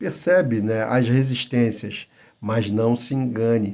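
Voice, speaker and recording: A man talks at a fairly slow pace. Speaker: Bible teacher. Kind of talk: lecture. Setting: at home. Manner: soft-spoken; halting.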